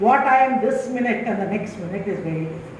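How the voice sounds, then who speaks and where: Someone with a Telugu accent is heard with audible room echo and noticeable background noise. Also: woman. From India, Tamil Nadu. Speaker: university vice chancellor, professor. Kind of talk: inaugural lecture to students.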